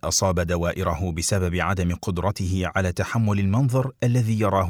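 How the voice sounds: The voice heard is a natural reading voice. Pitch rises and falls in an ordinary manner.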